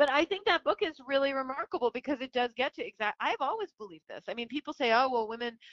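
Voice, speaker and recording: A woman at a very fast pace with a high pitch, very wide pitch swings, big swings in loudness and hardly any pauses. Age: 40s. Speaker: feminist journalist. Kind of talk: interview.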